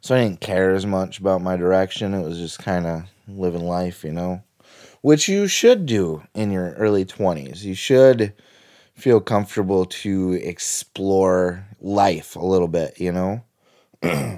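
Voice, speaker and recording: On a very clean recording with a silent background, a man speaks at a very deep, low pitch with a dark, mellow tone. His pace is fairly slow, with ordinary pitch variation. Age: 30s. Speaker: podcaster and author. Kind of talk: solo audio journal monologue. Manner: rambling, casual.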